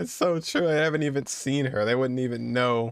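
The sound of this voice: A man with a clear, smooth tone on a very clean recording, silent background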